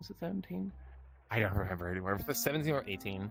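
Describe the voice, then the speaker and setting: A man with a German accent, lively intonation and music in the background. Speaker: streamer. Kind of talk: interview answers. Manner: halting, repeating words.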